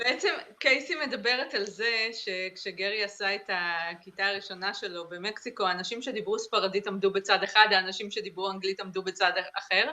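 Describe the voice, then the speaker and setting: A woman talks at a moderate pace in an ordinary speaking voice with ordinary pitch variation. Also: medium pitch for a woman. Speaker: interpreter. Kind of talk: interpreting.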